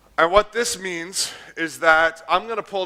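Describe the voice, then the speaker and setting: A high-pitched man with an American accent, ordinary pitch variation and a bright, sharp tone. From United States. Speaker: conference speaker. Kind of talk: technical talk with live coding.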